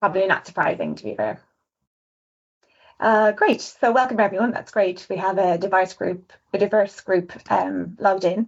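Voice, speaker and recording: A woman with an Irish accent, medium-pitched, with vocal fry. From Ireland. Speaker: designer. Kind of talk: webinar presentation. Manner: fast.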